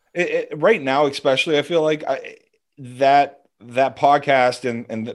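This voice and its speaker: With a quiet background, a man with an ordinary speaking voice talks at a moderate pace in a fairly high pitch with ordinary pitch variation. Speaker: former hockey scout. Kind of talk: casual chat.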